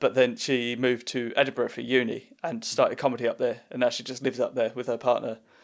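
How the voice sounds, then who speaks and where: A man speaks with an Essex accent at medium pitch, very fast and with hardly any pauses, his intonation monotone and flat. The recording is very clean, with a silent background. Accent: Southend Essex. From Essex, England (Southend). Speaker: comedian and podcast host. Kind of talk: casual chat.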